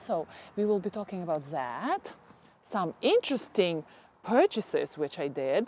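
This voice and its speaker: With a Ukrainian accent, a woman speaks at a fairly slow pace using lively intonation. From Ukraine. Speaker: gardening YouTuber. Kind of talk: casual chat. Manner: halting.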